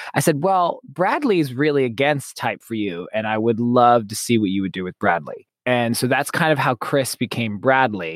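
A plain, everyday voice with lively intonation and hardly any pauses, at a moderate pace, in a dry, close sound with no echo. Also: man, medium pitch for a man. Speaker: podcast writer, director and actor. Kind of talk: casual chat.

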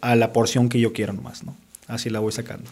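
Here a man is talking. His delivery is very fast. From Sonora, Mexico (Caborca), raised in Tucson from age 12. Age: 30s. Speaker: radio and TV presenter. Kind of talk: casual chat.

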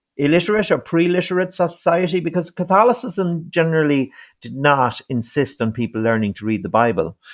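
Very clean and recorded against a silent background, a man's fairly high voice moves at a moderate pace with very wide pitch swings. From East Mayo, west of Ireland. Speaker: author and publisher. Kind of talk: interview conversation. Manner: hesitant, repeats words.

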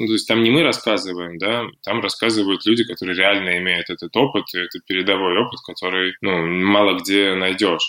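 A man talks with hardly any pauses. His pitch is fairly low, and his tone is bright and sharp. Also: moderate pace. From Russia, Sosnovy Bor. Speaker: founder of a fashion and art project. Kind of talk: interview.

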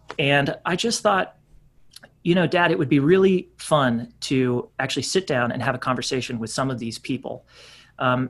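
A man uses a normal speaking voice at a medium pitch with lively intonation. The background is quiet. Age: 30s. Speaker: actor and podcast host. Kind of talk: casual chat.

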